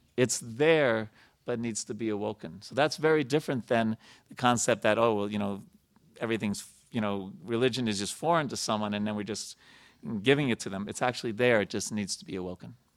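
A man with a plain, everyday voice and an American accent, medium in pitch with ordinary pitch variation, at a fairly quick pace with big swings in loudness, on a very clean recording with a silent background. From New York. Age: 50s. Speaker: temple president and spiritual speaker. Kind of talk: sermon. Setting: temple with audience.

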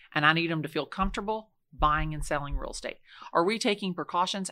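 A woman talks at a very fast pace with a fairly low pitch, ordinary pitch variation and a bright, sharp tone, on a very clean recording with a silent background. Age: 50s. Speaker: real estate agent. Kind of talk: casual interview. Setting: studio, in person.

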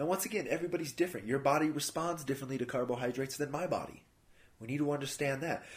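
A man with a fairly high pitch speaks very fast in a somewhat breathy voice with ordinary pitch variation. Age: 30s. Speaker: fitness and nutrition podcast host. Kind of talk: solo podcast talk on nutrition. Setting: house sitting at a friend's home. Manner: casual, conversational.

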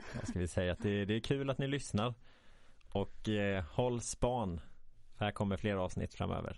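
A man with an unremarkable speaking voice speaks with ordinary pitch variation. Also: fairly low pitch for a man, moderate pace. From Sweden, Halland. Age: 20s. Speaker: social work student, podcast host. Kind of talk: casual chat. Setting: studio.

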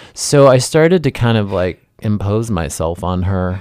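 A man with an American accent and an ordinary speaking voice talks at a moderate pace in a fairly low pitch, in a very clean recording with a silent background. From Ohio, US Midwest (Dayton). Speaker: clothing designer. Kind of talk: interview conversation.

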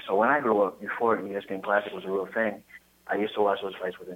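A man with a fairly low pitch talks at a very fast pace. His intonation is monotone and flat, with noticeable background noise behind him. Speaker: caller. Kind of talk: casual phone conversation.

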